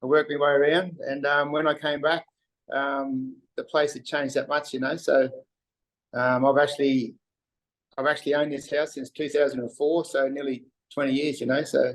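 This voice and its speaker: Speaking in a flat monotone at a moderate pace, a man with a strong Australian accent has a fairly high pitch. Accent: broad Australian. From Western Queensland, Australia. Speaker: wharf worker. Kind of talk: casual interview chat. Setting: video call. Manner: halting, many fillers.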